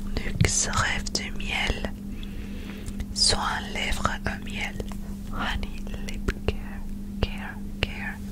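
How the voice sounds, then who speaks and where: Whispering and soft-spoken, a woman goes at a very slow pace with long, frequent pauses, her sound dry with no echo despite loud background noise. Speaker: makeup reviewer. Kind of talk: soft casual ASMR-style product chat. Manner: soft close-mic ASMR whisper. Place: home room. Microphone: studio mic.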